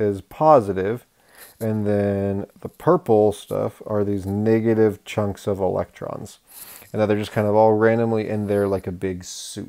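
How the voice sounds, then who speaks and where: A man's fairly low, dark, mellow voice at a fairly slow pace, with fairly even intonation, on a very clean recording over a silent background. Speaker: science teacher. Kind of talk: lecture. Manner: casual.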